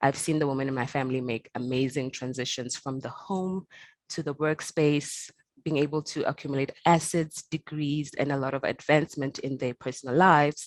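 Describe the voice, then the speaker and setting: A woman's very deep, low pitch with fairly even intonation, at a moderate pace, in a dry, close sound with no echo. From South Africa. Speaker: panel host, platform editor. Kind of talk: panel discussion.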